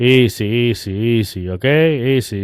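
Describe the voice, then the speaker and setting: Fairly even intonation marks a man's voice at medium pitch. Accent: Cuban. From Cuba. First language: Spanish. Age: 30s. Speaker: political commentary YouTuber. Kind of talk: casual vlog commentary. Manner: hesitant, with fillers.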